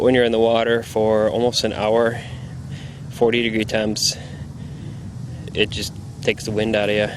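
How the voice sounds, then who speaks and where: A man speaks at a fairly low pitch in a monotone, flat intonation. Noticeable background noise sits behind him. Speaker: obstacle race competitor. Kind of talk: walking tour narration. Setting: outdoors. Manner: fast.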